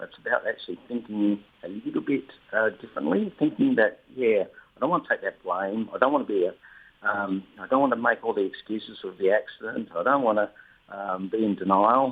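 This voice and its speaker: Speaking at a fairly quick pace, a man talks with an Australian accent. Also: big swings in loudness. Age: 60s. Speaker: retired government official and accident survivor. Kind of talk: radio interview. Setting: phone call. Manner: hesitant, many fillers.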